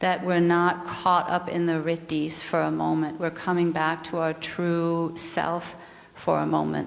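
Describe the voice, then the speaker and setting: With a slight Danish accent, a woman at fairly low pitch speaks at a fairly slow pace in a monotone, flat intonation and very even loudness. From Denmark. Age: 50s. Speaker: yoga and mindfulness teacher, speaker. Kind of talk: spiritual talk.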